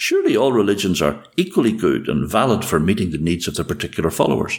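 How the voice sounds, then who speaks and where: A man talks at a very fast pace in a Northern Irish accent. His fairly low voice carries vocal fry. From Northern Ireland. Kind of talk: casual conversation with storytelling.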